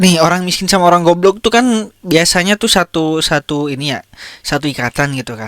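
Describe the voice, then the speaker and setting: Recorded very cleanly against a silent background with a dry, close sound and no echo, the voice moves at a fairly quick pace with an animated tone and lively intonation. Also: man, high pitch for a man. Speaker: podcast host. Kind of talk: casual commentary on viral content.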